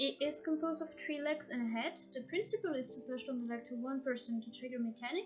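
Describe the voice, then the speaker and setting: A woman with a non-native accent speaks in a high voice at a very fast pace, with ordinary pitch variation and hardly any pauses. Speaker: gaming guide creator. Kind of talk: game guide narration.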